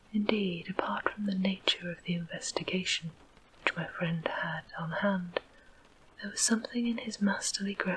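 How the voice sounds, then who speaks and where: A soft-spoken woman with an English accent, medium pitch, fairly even intonation and a moderate pace, amid noticeable background noise. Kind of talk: audiobook reading.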